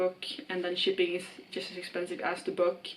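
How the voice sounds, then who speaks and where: A woman's medium-pitched voice with a Swedish accent at a moderate pace. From Sweden. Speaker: book vlogger. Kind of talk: casual vlog monologue. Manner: casual with fillers.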